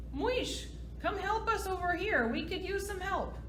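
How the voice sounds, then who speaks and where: A squeaky, put-on character voice moves at a moderate pace against noticeable background noise. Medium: read story.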